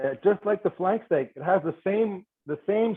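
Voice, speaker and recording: This man talks at a fairly slow pace with a high pitch and lively intonation. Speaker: chef. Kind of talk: cooking demonstration webinar. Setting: video webinar. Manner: animated.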